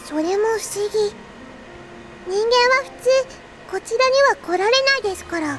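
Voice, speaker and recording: Amid loud background noise, a female-sounding put-on character voice at an extremely high pitch moves at a fairly quick pace broken by long, frequent pauses. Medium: video game. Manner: flat, soft-spoken, terse.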